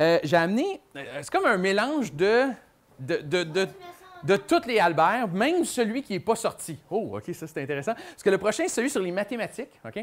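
A high-pitched man with a Quebec accent at a moderate pace, with very wide pitch swings and big swings in loudness. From Quebec, Montreal area. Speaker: children's author and magician. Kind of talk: presentation to a young audience. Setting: book fair stage with audience. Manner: casual, filler-heavy. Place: classroom. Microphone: lapel.

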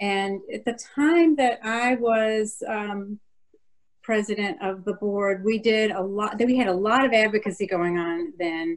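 An unremarkable speaking voice moves at a fairly slow pace with ordinary pitch variation against a quiet background. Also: woman, fairly high pitch for a woman. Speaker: former organization president; former council president, panelist. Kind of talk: panel discussion. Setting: video call. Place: home room. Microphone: webcam.

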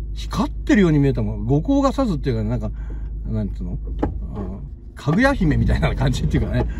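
Very fast speech broken by long, frequent pauses comes through dry sound with no echo and noticeable background noise. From Shizuoka, Japan. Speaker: video blogger filming city walk. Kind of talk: casual walking vlog narration. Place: car. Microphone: phone near.

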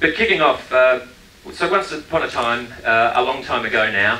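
Over light background noise, a man speaks at a moderate pace with audible room echo. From Australia (Queensland). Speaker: tourism marketing director. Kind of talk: conference presentation. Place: stage.

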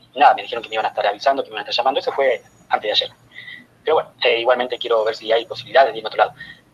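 A man rattles off his words very fast while noticeable noise sits in the background. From Argentina. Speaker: caller seeking advice. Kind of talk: recorded question message.

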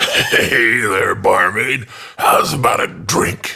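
A man does a raspy, put-on character voice at a very slow pace. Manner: leering, crude.

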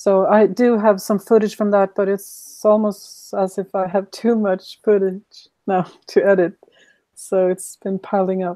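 A woman with a Swedish accent has a dark, mellow tone and monotone, flat intonation. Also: medium pitch for a woman, fairly slow pace, dry, close sound with no echo. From Sweden. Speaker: YouTube creator. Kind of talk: casual interview chat.

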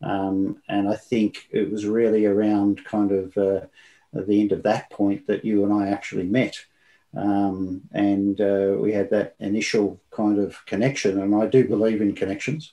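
Against a quiet background, a man speaks fairly slowly in a fairly low, dark, mellow voice with very even loudness and fairly even intonation. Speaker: remote guest. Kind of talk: interview answer. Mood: warm, smiling, reflective. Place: home room.

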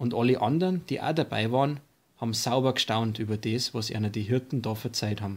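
Recorded very cleanly over a silent background, a man talks at a moderate pace and medium pitch with ordinary pitch variation. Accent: Upper Bavarian. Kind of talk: Bible story reading.

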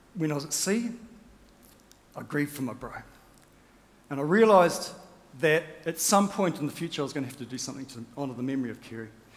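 A man with a New Zealand accent talks at a very fast pace with long, frequent pauses and big swings in loudness. His fairly high voice has lively intonation. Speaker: rowing champion and motivational speaker; motivational speaker. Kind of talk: keynote speech. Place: stage. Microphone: headset.

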